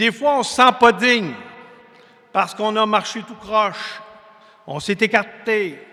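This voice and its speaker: Very slowly, a man with a high pitch and a Quebec accent speaks in a raised, projected voice. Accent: Québécois French. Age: 60s. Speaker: preacher. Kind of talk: sermon. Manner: conversational, folksy.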